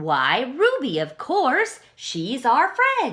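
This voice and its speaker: Using a put-on character voice, a woman speaks at a high pitch. Her pace is very slow. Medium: read story. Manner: loud, quarrelling.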